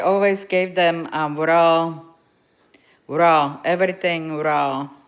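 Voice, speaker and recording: Speaking with a Slovak accent, a woman keeps a fairly low pitch and ordinary pitch variation. Her pace is very slow. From Slovakia. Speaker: dog owner livestreamer. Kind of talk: casual livestream chat. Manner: halting.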